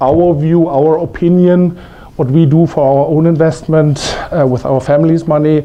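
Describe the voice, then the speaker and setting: With a German accent, a man with a fairly high voice speaks in a monotone, flat way at a moderate pace, with audible room echo. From Germany. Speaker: investment strategy presenter. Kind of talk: conference presentation. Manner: halting, many fillers.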